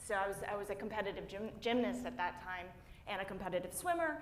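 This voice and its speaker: A woman at medium pitch with lively intonation and a fairly quick pace, amid audible room echo and noticeable background noise. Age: 40s. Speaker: plant-based athlete. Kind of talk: panel discussion. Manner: animated.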